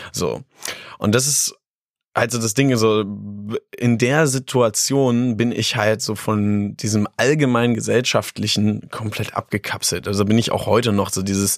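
On a very clean recording with a silent background, a man in an ordinary speaking voice talks at medium pitch, at a fairly slow pace and with fairly even intonation. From Lower Saxony, Germany (Harz region near Göttingen). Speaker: beatboxer and street musician. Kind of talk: interview. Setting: studio.

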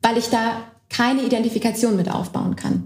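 Somewhat breathy, a woman talks in a fairly high pitch with ordinary pitch variation. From Berlin, Germany. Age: young. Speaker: party lead candidate, politician. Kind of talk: casual political chat. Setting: co-working space, recorded. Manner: hesitant, many fillers.

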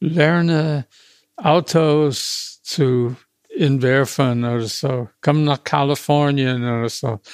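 A man with an American accent speaks at a very slow pace, his fairly high pitch showing ordinary variation. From USA, small town. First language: English (speaking German). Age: 80s+. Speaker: retired car designer. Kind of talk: interview. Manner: halting, with many hesitations.

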